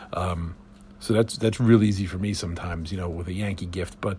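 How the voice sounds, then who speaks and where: Somewhat breathy, a man speaks. He talks at a fairly quick pace. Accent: American. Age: 50s. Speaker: podcast host. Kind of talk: solo podcast monologue. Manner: casual, many filler words.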